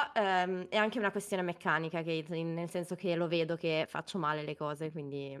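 A woman speaks at a moderate pace in a plain, everyday voice. The recording is very clean, with a silent background. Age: 20s. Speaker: amateur esports player being coached. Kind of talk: game coaching session.

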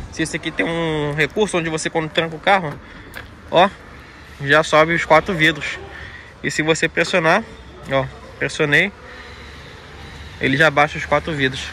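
A man talks at a moderate pace with fairly even intonation and long, frequent pauses. The sound is dry with no echo, over light background noise. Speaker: presenter. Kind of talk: casual product walkaround. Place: street. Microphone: phone near.

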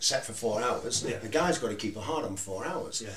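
A man talks at a fairly quick pace. Light background noise and audible room echo surround him. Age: 40s. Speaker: retired adult film actor, photographer; podcast guest or host. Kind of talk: casual chat. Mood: relaxed, candid. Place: studio.

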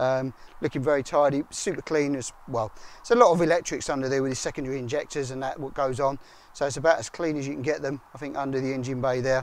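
The sound is dry, without any echo. A man does the talking. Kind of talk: walkaround commentary. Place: street. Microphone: phone near.

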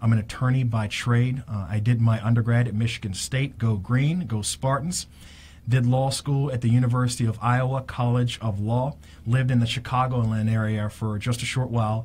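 The man's somewhat breathy voice keeps fairly even intonation at a moderate pace. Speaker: radio show host. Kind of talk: radio show opening monologue. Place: studio. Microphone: studio mic.

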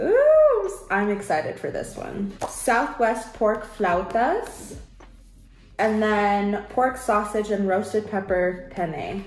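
Audible room echo and light background noise surround a woman who talks at a very slow pace with ordinary pitch variation. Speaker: home cook vlogger. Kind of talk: casual vlog chat. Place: kitchen. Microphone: camera far.

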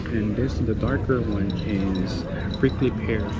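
A man's pitch varies in an ordinary way while loud background noise fills the recording. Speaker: travel vlogger. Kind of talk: casual vlog chat. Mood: relaxed, cheerful. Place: tunnel cave.

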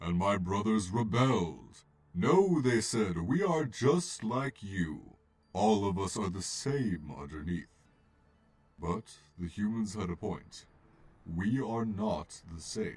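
In a put-on character voice, this man keeps to a fairly low pitch and a fairly slow pace. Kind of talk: comic dub. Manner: calm, gentle.

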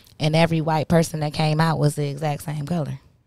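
Against a quiet background, a woman with a very deep, low pitch and a dark, mellow tone talks at a fairly quick pace, the sound dry with no echo. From Michigan, Ann Arbor; Michigan. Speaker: podcast host. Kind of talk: casual chat. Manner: animated. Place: studio. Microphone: studio mic.

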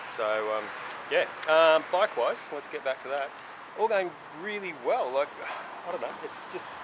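Fairly quick speech from a man against noticeable background noise. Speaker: motorcycle traveller vlogger. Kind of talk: casual vlog chat. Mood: relaxed and pleased. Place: street.

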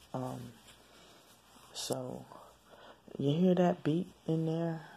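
A quiet woman's voice at a very slow pace, very deep and low in pitch, with a dark, mellow tone and a somewhat breathy quality. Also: ordinary pitch variation. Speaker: vlogger. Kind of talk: video diary. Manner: hushed, quiet; halting, many fillers.

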